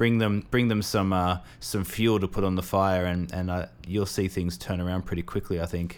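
Hardly pausing, a man with a very deep, low voice keeps a moderate pace and fairly even intonation. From Australia. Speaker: podcast co-host, creative professional. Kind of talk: casual chat. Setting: remote call.

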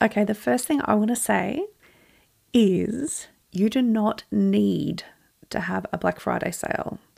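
A woman speaks with an Australian accent. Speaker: business podcast host. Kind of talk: solo podcast talk.

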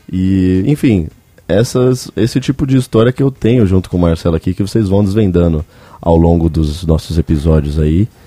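Very even in loudness, this voice has a dark, mellow tone and lively intonation, recorded dry and close with no echo. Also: man, very deep, low pitch for a man, moderate pace. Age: 20s. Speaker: podcast host. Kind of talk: casual chat.

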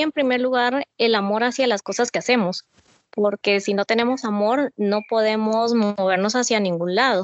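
A woman speaks in a normal speaking voice. Her pitch is fairly high and her pace fairly slow. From Guatemala, Mazatenango. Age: 30s. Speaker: businesswoman and mother. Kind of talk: podcast interview.

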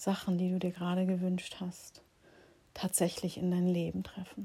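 A woman talks with a medium pitch in a somewhat breathy voice. Her tone is dark and mellow, gentle and calm. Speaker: meditation guide and healing practitioner. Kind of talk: guided meditation. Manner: slow, soft, calm and soothing; gentle, pausing, dreamy, intimate pacing.

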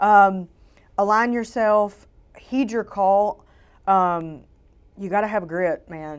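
In a Southern US accent, a woman speaks very slowly at a medium pitch, with long, frequent pauses. Her loudness swings widely, her pitch varies in an ordinary way, and the recording is very clean with a silent background. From Louisiana, Shreveport. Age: 40s. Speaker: photographer. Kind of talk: interview. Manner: animated.

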